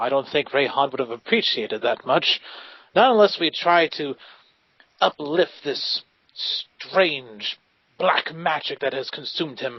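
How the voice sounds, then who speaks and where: A man's put-on character voice, fairly high in pitch, with lively intonation at a moderate pace. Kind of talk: old-fashioned heroic speech. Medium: actual play. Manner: earnest, warm, idealistic.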